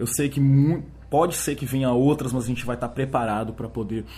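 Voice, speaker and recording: This man has a medium-pitched voice. It sounds somewhat breathy. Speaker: podcast host. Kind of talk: solo monologue podcast. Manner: hesitant, many filler words.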